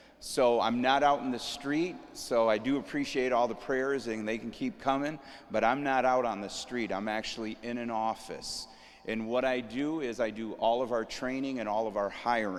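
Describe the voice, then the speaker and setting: A man with a medium-pitched voice speaks at a moderate pace, his intonation fairly even. Audible room echo surrounds him. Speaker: police sergeant and safety trainer. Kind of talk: training session. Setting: church hall with audience, live streamed. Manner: casual, frequent okay fillers.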